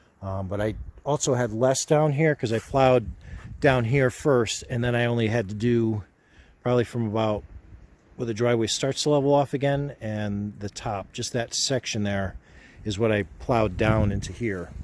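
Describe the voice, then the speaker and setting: A man mumbles at a moderate pace. His voice sits at a medium pitch. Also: ordinary pitch variation. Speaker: vlogger. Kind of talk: casual vlog narration. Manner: mumbling.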